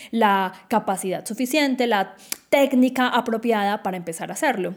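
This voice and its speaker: A woman with a plain, everyday voice speaks at a fairly high pitch and moderate pace with lively intonation. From Colombia, Quindío. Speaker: podcast host. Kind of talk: solo podcast monologue.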